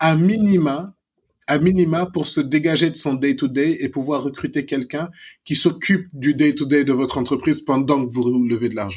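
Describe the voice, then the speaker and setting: Somewhat breathy, the voice moves at a moderate pace with ordinary pitch variation against a quiet background. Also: man, fairly high pitch for a man. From Senegal, Dakar. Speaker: serial entrepreneur and investor. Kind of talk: interview.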